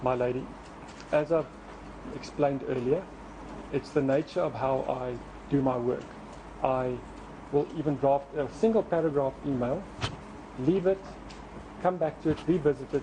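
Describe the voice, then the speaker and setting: Through noticeable background noise, a man speaks at a moderate pace in a fairly high pitch with ordinary pitch variation and long, frequent pauses. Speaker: trial witness. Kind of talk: court testimony. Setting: courtroom. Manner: formal; halting.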